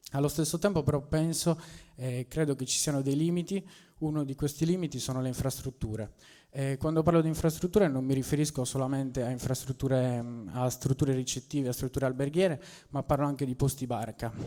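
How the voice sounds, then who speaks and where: At a very fast pace, a man speaks in a fairly high voice with a dark, mellow tone and ordinary pitch variation. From Sardinia, La Maddalena. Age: 20s. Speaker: local entrepreneur. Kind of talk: public speech. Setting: public meeting with audience.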